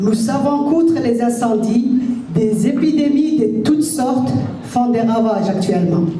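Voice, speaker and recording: A woman speaks at a fairly slow pace with a fairly high pitch and lively intonation. Her loudness stays very even amid audible room echo and noticeable background noise. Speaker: event organizer. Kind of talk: formal welcome speech. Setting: stage with audience, PA mic. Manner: formal.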